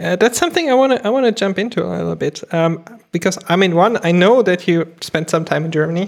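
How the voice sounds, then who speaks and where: Very fast speech from a woman at medium pitch, with ordinary pitch variation and vocal fry. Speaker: podcast host. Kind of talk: casual interview chat.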